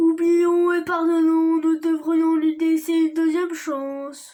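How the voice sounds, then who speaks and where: A woman does a put-on character voice at an extremely high pitch. She speaks at a fairly slow pace with monotone, flat intonation. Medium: read story. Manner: gentle, kindly.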